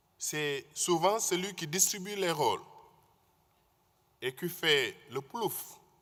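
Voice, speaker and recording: Pausing long and often, a man speaks at a very slow pace in a high pitch with a bright, sharp tone, captured on a very clean recording against a silent background. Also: ordinary pitch variation. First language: Wolof (speaking French). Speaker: conference speaker. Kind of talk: conference talk.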